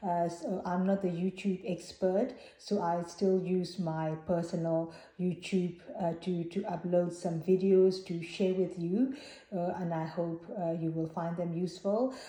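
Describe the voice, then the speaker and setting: In a Burmese accent, a woman speaks at a fairly slow pace with a fairly low, somewhat breathy voice, a dark, mellow tone and fairly even intonation. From Myanmar (Burma). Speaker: Buddhist vlogger. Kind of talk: personal vlog talk. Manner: hesitant, many fillers.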